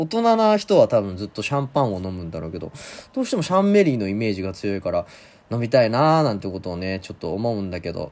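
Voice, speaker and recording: A man talks at a very fast clip. The recording is very clean, with a silent background. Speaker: solo podcast host answering listener questions. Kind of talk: casual solo talk. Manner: hesitant, rusty.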